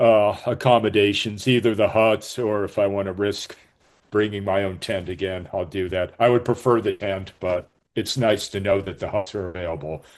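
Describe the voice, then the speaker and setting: Speech moves along at a moderate speed. Its intonation is fairly even. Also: man, fairly low pitch for a man. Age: 60s. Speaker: hiker. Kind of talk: webinar talk. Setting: video call. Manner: halting.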